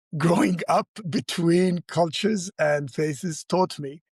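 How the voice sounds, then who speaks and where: A man with an Arabic accent at a very slow pace, ordinary pitch variation, and a dry, close sound with no echo. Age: 60s. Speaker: entrepreneur and community leader. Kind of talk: podcast interview.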